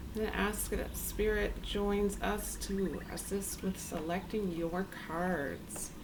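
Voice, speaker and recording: Amid noticeable background noise and audible room echo, a woman talks at a very slow pace with hardly any pauses. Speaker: tarot reader. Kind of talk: tarot reading. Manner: quiet, low volume; calm, hesitant with filler ums.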